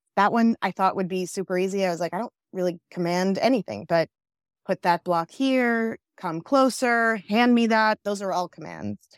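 A woman talks in a New York accent. The sound is dry and close with no echo, on a very clean recording with a silent background. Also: medium pitch for a woman, ordinary pitch variation, moderate pace. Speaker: app founder and mother. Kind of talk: casual interview.

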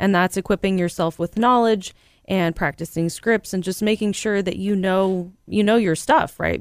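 Here is a woman with an unremarkable speaking voice at medium pitch, talking at a moderate pace with fairly even intonation. The recording is very clean with a silent background, and the sound is dry and close with no echo. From Central California. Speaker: real estate broker. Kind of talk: casual chat.

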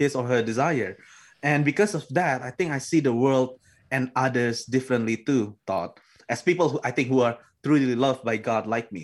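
Recorded very cleanly with a silent background, a man with an Indonesian accent talks at a medium pitch and moderate pace with ordinary pitch variation. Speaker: theology graduate. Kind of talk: interview testimony.

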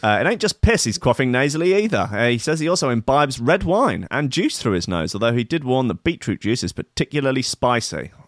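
Speaking very fast in a British accent, a man uses a medium pitch that swings very widely. The recording is very clean with a silent background, and the sound is dry and close with no echo. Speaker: podcast host. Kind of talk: casual chat. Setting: live stream with chat. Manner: animated.

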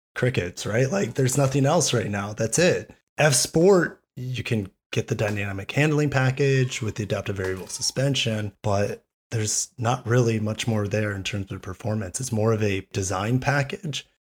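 This man's voice sits at a medium pitch. There is some breathiness to it. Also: ordinary pitch variation, moderate pace. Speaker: automotive YouTuber. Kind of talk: casual chat.

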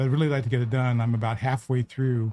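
Speaking at a very fast pace, a man has a dark, mellow tone that is somewhat breathy. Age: 70s. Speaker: podcast co-host. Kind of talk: casual chat.

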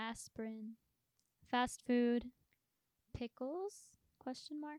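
A woman talks at a very slow pace and high pitch. The sound is dry and close, with no echo. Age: under 21 (young). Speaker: podcast co-host. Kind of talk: casual chat. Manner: sarcastic, deadpan.

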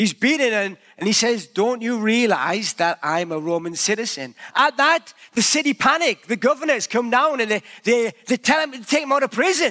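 With lively intonation and an extremely high pitch, a man projects a raised voice in a dry, close recording with no echo. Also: moderate pace. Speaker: pastor. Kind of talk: sermon. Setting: church.

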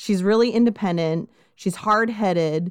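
A Californian accent at a moderate pace with ordinary pitch variation, dry and close with no echo, on a very clean recording with a silent background. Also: woman. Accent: Californian American. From Southern California. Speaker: true crime podcast host. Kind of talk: casual chat with narration of case.

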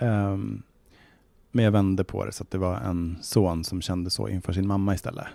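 In a very clean recording with a silent background, a man with a very deep, low pitch and a dark, mellow tone speaks at a moderate pace with fairly even intonation. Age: 40s. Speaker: novelist. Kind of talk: casual interview.

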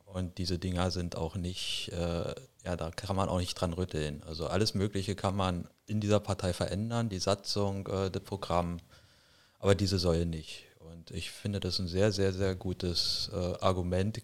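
Recorded very cleanly with a silent background, a man speaks in a very deep, low pitch with monotone, flat intonation. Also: moderate pace. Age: 50s. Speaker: party board member. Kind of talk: interview.

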